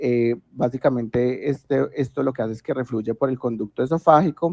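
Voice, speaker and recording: In a dry, close recording with no echo, a man with an ordinary speaking voice talks at a fairly slow pace, medium in pitch with ordinary pitch variation. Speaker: medical student tutor. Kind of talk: lecture.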